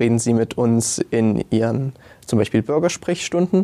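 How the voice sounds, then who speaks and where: A man's medium-pitched voice with a dark, mellow tone on a very clean recording with a silent background. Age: young. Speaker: student climate activist. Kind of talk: panel discussion.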